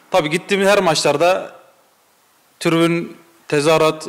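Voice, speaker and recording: Over a quiet background, a man with a fairly high voice talks at a moderate pace with fairly even intonation. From Konya Ereğli, Turkey. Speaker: football supporter. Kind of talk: casual interview. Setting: supporters' clubhouse. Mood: warm, earnest storytelling. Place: home room. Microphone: handheld.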